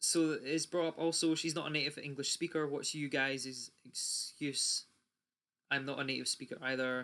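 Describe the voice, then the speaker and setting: A man with a British accent, speaking at a moderate pace. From UK. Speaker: YouTuber. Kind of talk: rant. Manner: animated.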